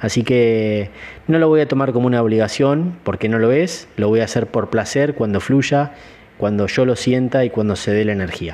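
Keeping very even loudness, a man speaks at a moderate pace with a medium pitch and ordinary pitch variation. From Argentina, Entre Ríos. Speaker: martial arts teacher and podcast host. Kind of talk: solo podcast talk. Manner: hesitant fillers.

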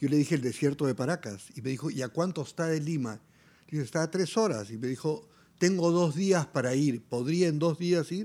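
A man's dark, mellow voice at a fairly high pitch, with lively intonation and a moderate pace, on a very clean recording with a silent background. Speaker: musician and artist. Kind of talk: interview conversation.

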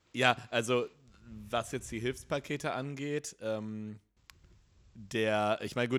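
A man talks at medium pitch in an ordinary speaking voice, with ordinary pitch variation. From North Rhine-Westphalia. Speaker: podcast host. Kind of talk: casual chat.

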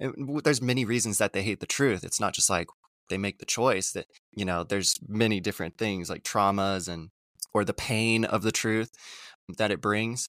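A man with a normal speaking voice talks at a fairly low pitch and a moderate pace, with ordinary pitch variation. The very clean recording has a silent background and a dry, close sound with no echo. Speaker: astrologer. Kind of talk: casual interview chat.

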